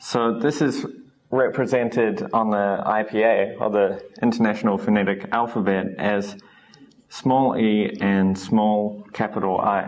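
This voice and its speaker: A man with a New Zealand accent speaks at a fairly slow pace and fairly low pitch, with fairly even intonation and very even loudness. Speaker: English teacher. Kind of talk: lecture. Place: classroom. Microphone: camera far.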